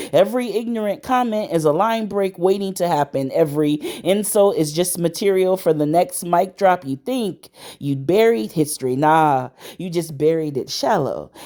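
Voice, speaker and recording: A woman with an American accent and a normal speaking voice, fairly low pitch, lively intonation and a moderate pace. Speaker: spoken word poet. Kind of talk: spoken word poetry performance.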